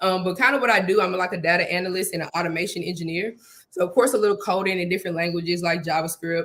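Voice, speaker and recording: A woman with a Houston accent and a medium pitch talks at a very fast pace in an animated tone over noticeable background noise. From Houston, Texas. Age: 20s. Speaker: software engineer and snake breeder. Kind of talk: interview.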